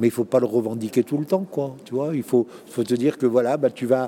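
With an unremarkable speaking voice, a man talks at a medium pitch and with fairly even intonation. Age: 60s. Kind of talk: interview. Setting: conference venue.

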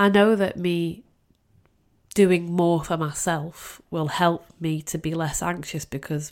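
A woman speaks in a Lancashire accent, her pitch fairly low and her intonation fairly even. The recording is very clean, with a silent background. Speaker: podcast host. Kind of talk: solo monologue. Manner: rambling.

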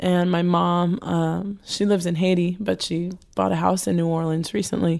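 An American accent comes through at a moderate pace. The loudness stays very even. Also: woman. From New Jersey, US. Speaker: cellist and singer-songwriter. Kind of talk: interview. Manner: halting.

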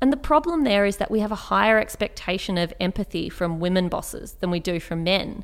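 Hardly pausing, a woman with an Australian accent speaks at a fairly quick pace, with a medium pitch and lively intonation. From Australia, Canberra. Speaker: writer and public speaker. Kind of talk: interview conversation.

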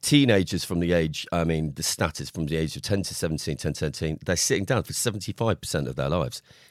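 Very deep and low with vocal fry, a man rushes along at a very fast pace with hardly any pauses and ordinary pitch variation. The recording is very clean, the background silent. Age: 40s. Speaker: psychotherapist. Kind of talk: podcast interview.

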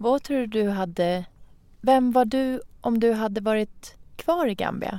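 Speaking very slowly with long, frequent pauses, a woman has a fairly high pitch and a dark, mellow tone. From Iran. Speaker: podcast host. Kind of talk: casual interview.

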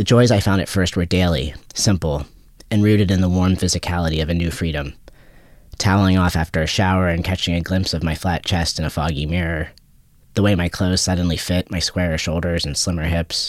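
A man speaks with an American accent in a very deep, low voice. His intonation is fairly even and his pace fairly quick. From US. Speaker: writer and boxer. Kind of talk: interview, reading aloud from his book.

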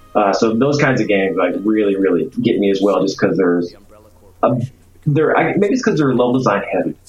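Against noticeable background noise, a man with an American accent talks very fast at a medium pitch, his pitch varying in an ordinary way and his loudness very even. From Arkansas, US South. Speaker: game designer. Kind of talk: casual chat. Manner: casual, hesitant with filler words.

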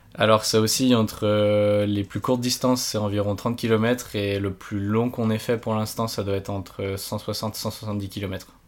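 Speaking at a fairly slow pace, a man keeps a monotone, flat intonation with hardly any pauses. His pitch is fairly low. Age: 20s. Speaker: paraglider and engineering student. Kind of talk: interview. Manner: halting.

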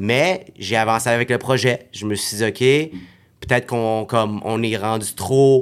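This man has a normal speaking voice with a medium pitch. He speaks at a fairly slow pace with ordinary pitch variation. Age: 30s. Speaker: network marketing entrepreneur. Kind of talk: casual chat.

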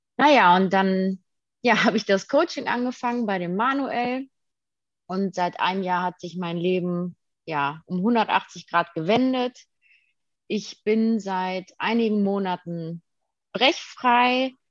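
Delivered at a very slow pace with long, frequent pauses and ordinary pitch variation, the speech has a dry, close sound with no echo and a quiet background. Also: woman, medium pitch for a woman. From Germany, Detmold (Westphalia). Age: 20s. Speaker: daycare educator sharing recovery from eating disorder. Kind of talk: interview.

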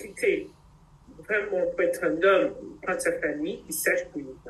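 Speaking at a moderate pace, a woman leaves long, frequent pauses, and her loudness swings widely. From Cameroon. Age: 50s. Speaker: doctor. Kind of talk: interview.

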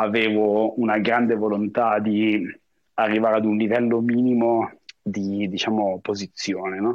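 A man with a fairly low pitch speaks at a fairly slow pace in a monotone, flat way. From northern Italy, Lake Como. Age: 40s. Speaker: expat professional. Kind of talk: interview. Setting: remote call.

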